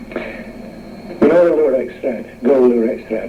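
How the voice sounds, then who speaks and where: Noticeable background noise sits behind the voice. A man talks at a very slow pace. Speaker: mill engineer. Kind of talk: interview answer. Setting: radio interview recording.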